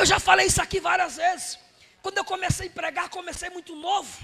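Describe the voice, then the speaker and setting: The tone is animated, in a raised, projected voice. The pace is fairly quick. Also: man. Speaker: evangelist preacher. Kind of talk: sermon.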